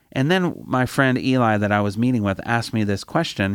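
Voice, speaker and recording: Captured in a very clean recording with a silent background, a man has an unremarkable speaking voice with medium pitch and ordinary pitch variation. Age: 50s. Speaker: campus ministry director. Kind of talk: sermon.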